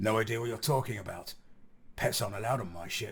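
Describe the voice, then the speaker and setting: A man does a put-on character voice at a medium pitch, growling and raspy. He delivers it at a very fast pace. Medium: read story.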